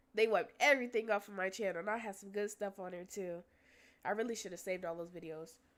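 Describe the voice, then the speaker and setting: A woman speaks very fast at a medium pitch, her animated tone carried by big swings in loudness. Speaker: livestreamer. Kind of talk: casual livestream chat. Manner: casual, animated.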